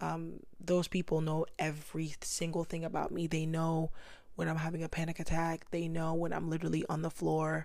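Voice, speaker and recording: A woman with a fairly low pitch talks at a moderate pace, her intonation monotone and flat. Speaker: podcast host. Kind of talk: casual chat.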